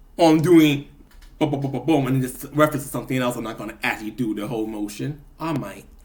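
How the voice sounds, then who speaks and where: A somewhat breathy voice rushes along at a very fast pace. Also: man, medium pitch for a man, ordinary pitch variation. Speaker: vlogger. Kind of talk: casual monologue vlog.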